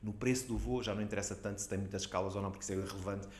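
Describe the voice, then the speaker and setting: Fairly low male voice with vocal fry and fairly even intonation, plus audible room echo. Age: 50s. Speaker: digital economy association president. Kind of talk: interview.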